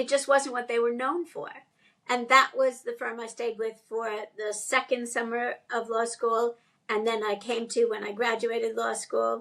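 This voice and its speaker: A plain, everyday voice from a woman with an American accent, fairly high in pitch, at a moderate pace against a quiet background. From New York City. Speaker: music lawyer. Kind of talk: interview.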